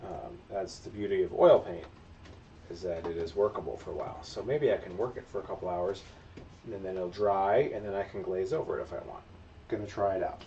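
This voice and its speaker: A man speaks at a fairly quick pace. Light background noise can be heard. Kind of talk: casual livestream tutorial chat. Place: workshop.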